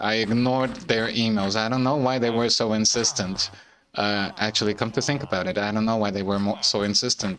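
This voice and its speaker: A man with a non-native accent speaks at a medium pitch with ordinary pitch variation. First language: not English. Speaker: gaming streamer. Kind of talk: casual gameplay commentary. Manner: halting, many fillers and repeated words.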